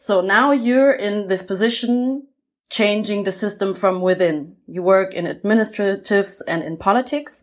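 A woman speaks with a German accent at a moderate pace, her pitch medium and its variation ordinary. The recording is very clean, with a silent background. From Germany. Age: 30s. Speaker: podcast host for a cultural funding program. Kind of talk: interview.

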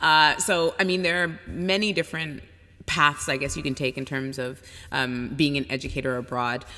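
Delivered at a moderate pace in a Canadian accent, the bright, sharp voice has ordinary pitch variation, in a very clean recording with a silent background. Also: woman, very deep, low pitch for a woman. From Canada, Toronto. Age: 30s. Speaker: travel writer and educator. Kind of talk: casual interview.

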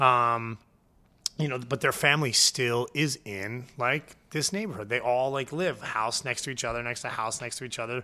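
A bright, sharp tone with a New Jersey accent, ordinary pitch variation and a moderate pace on a very clean recording with a silent background. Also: man, medium pitch for a man. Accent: New Jersey American. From New Jersey, Point Pleasant (Jersey Shore). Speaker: chef and catering business founder. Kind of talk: casual interview chat. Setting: studio. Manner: animated.

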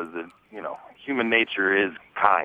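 The speaker has a normal speaking voice and keeps a moderate pace. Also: man. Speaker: podcast co-host. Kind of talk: casual chat.

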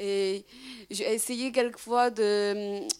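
With a Chinese accent, a woman speaks in a fairly even intonation. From China. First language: Chinese (speaking French). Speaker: audience member. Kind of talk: audience question. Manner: halting.

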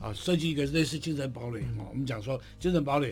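With music in the background, a man talks very fast at a fairly high pitch with lively intonation. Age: 70s. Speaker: advertising executive. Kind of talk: radio interview.

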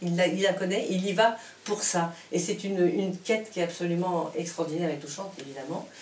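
A woman's medium-pitched voice at a moderate pace, with noticeable background noise and audible room echo. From Morocco, Casablanca. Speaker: composer. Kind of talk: conversation at a public event. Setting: luthier's workshop, live event. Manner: halting, many repetitions.

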